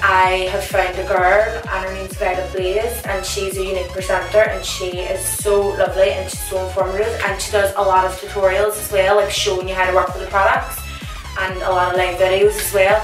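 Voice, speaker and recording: With clear music behind her and audible room echo, a woman talks at a fairly quick pace. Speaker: beauty vlogger. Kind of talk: casual vlog chat. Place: home room.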